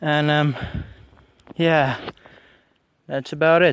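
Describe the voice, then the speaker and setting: Speaking fairly slowly in an Afrikaans accent, a man is heard with a dry sound with no echo and light background noise. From South Africa. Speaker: YouTuber doing shooting videos. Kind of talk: casual video commentary. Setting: outdoors at shooting range. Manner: hesitant, many fillers. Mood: relaxed, amused. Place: open country. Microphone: phone near.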